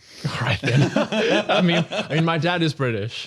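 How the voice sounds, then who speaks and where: Against noticeable background noise, a high-pitched man speaks at a fairly slow pace with very even loudness and very wide pitch swings. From South Africa.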